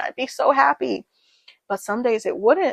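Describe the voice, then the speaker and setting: A woman with an American accent and an ordinary speaking voice, fairly high in pitch and fairly quick in pace, in a dry, close sound with no echo. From Tennessee, USA. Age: 20s. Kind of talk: casual talk to camera. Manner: casual, chatty.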